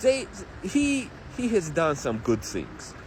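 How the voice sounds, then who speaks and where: Through noticeable background noise, a man with a non-native accent speaks at a very slow pace. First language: not English. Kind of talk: interview.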